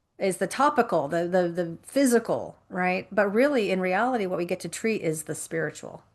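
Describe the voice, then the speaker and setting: A woman talks in a plain, everyday voice with lively intonation and hardly any pauses. Her pace is moderate and the background quiet. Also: medium pitch for a woman. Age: 50s. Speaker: life coach and speaker. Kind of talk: interview conversation. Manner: repetitive false starts.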